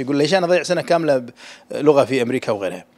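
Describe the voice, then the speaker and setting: Speaking at a very fast pace, the man has a fairly high pitch and ordinary pitch variation. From Kuwait. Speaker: university dean. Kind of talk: press interview. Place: office. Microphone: handheld.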